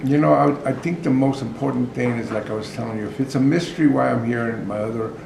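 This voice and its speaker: Talking at a fairly quick pace, a man with an American accent has a medium pitch and ordinary pitch variation. Audible room echo and noticeable background noise are present. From Los Angeles, US. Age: 60s. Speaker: author and prison outreach worker. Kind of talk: informal talk to outreach workers.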